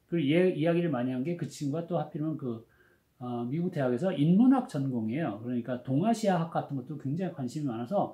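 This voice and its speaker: A man speaks very fast with lively intonation, pitched fairly high. His tone is dark and mellow, and somewhat breathy. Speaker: education professor. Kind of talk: lecture. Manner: casual, conversational storytelling.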